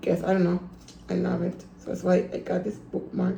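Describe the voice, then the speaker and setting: A woman with a medium pitch talks at a fairly quick pace. Noticeable background noise and audible room echo fill the recording. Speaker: book vlogger. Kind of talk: casual vlog. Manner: repetitive; fast.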